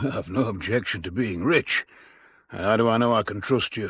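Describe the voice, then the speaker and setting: A man's put-on character voice at a medium pitch and a moderate pace. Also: ordinary pitch variation. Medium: audio drama.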